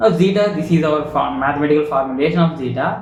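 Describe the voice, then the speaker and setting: Moderate pace from a male speaker amid noticeable background noise and audible room echo. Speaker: machine learning educator. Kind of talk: tutorial. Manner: halting.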